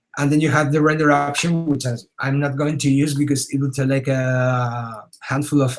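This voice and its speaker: Music plays in the background as a man speaks in a fairly high pitch with monotone, flat intonation. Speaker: digital artist teaching a webinar. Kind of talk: tutorial. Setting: webinar.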